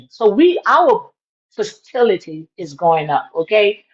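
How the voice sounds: Speaking at a fairly slow pace, a woman with a medium pitch and a slightly husky edge makes big pitch swings.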